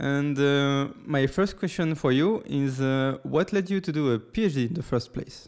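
A man with a fairly high pitch uses an ordinary speaking voice with ordinary pitch variation. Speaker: podcast host. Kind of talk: interview.

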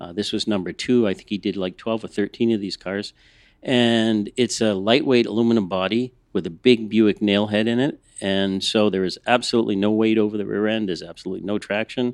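A man with an unremarkable speaking voice and an American accent, fairly low in pitch, at a fairly quick pace with fairly even intonation against a quiet background. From US Northeast, Boston. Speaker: museum conservator. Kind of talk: casual chat.

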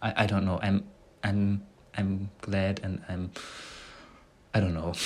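A man with a German accent speaks at a fairly low pitch. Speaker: podcaster practising English. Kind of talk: casual monologue. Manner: halting.

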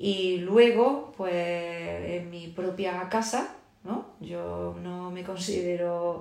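Very slow speech from a woman, fairly low in pitch, with ordinary pitch variation and audible room echo. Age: 40s. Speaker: teacher. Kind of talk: interview.

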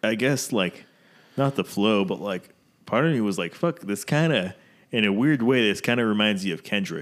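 An unremarkable speaking voice, a man with an American accent speaks at a moderate pace and fairly low pitch with lively intonation, on a very clean recording with a silent background. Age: 20s. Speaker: podcast host. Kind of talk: casual chat. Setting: audio-only recording, no cameras.

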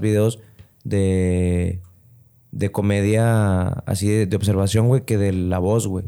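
Dark and mellow in tone, a man's fairly low voice with a Mexican accent shows ordinary pitch variation. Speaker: comedian. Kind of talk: casual chat.

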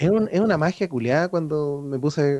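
Speaking at a moderate pace with a Chilean accent, a man has a fairly high pitch and a dark, mellow tone in a dry, close sound with no echo. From Chile, rural O'Higgins region (Chépica). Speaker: illustrator. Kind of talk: casual chat.

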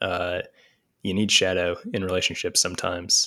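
With monotone, flat intonation, the man's very deep, low voice comes through on a very clean recording with a silent background. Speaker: guest interviewee, podcaster on Jungian psychology. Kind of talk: casual interview chat. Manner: slow, hesitant with filler words.

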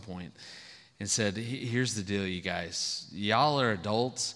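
In a room with audible echo, a man speaks at a fairly quick pace in a medium pitch, his tone bright and sharp, with ordinary pitch variation. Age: 50s. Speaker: marriage speaker. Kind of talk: sermon.

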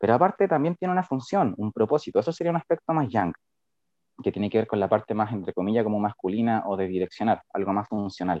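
A man speaks at a very fast pace in a medium pitch. His voice moves in very wide pitch swings. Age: 20s. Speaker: integrative therapist. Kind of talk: casual chat.

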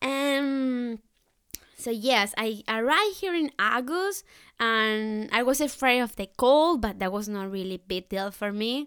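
In a Spanish accent, a woman speaks at a fairly slow pace with a fairly high pitch and lively intonation. The recording is very clean, with a silent background. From Colombia. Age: 20s. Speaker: au pair. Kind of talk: casual chat.

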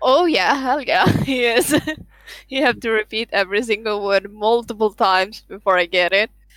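A woman with a Swedish accent, very even loudness, noticeable background noise and a dry, close sound with no echo. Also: fairly high pitch for a woman, ordinary pitch variation, moderate pace. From northern Sweden. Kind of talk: casual chat.

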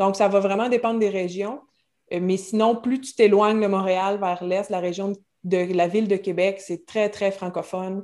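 Talking at a fairly slow pace, a woman has a medium pitch, a dark, mellow tone and fairly even intonation, on a very clean recording with a silent background. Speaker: French teacher. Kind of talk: casual interview.

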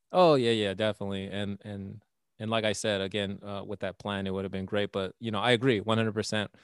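A man's fairly low voice with an American accent, very fast and monotone, flat in intonation, on a very clean recording with a silent background and a dry, close sound with no echo. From Texas. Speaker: comedian and podcaster. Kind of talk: casual chat.

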